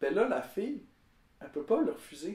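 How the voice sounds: A man speaks at a fairly quick pace in a high voice with big swings in pitch. His tone is slightly mellow, and the room echo is audible.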